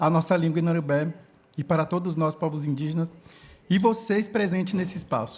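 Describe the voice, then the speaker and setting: The man's voice is high-pitched, with a dark, mellow tone. His pitch varies in an ordinary way, and his pace is moderate. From Brazil, Inã (Karajá) village, Tocantins region. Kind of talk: conference talk; reading aloud prepared speech. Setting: conference stage with audience.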